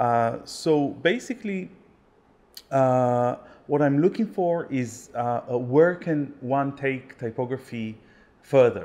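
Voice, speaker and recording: Speaking at a very slow pace with an Israeli accent, a man has a fairly high, dark, mellow voice with ordinary pitch variation, recorded very cleanly against a silent background. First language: Hebrew. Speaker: typographer and ketubah artist. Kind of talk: interview. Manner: halting, many fillers.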